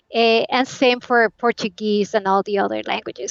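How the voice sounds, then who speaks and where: A woman with a Spanish accent, fairly high pitch and fairly even intonation, against a quiet background. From Colombia. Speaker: game localization specialist. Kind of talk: interview.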